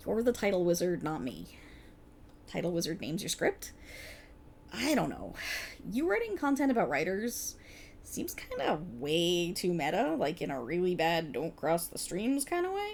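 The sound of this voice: This is a put-on character voice with a slightly mellow tone and vocal fry. It moves at a fairly slow pace through very wide pitch swings. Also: woman, fairly low pitch for a woman.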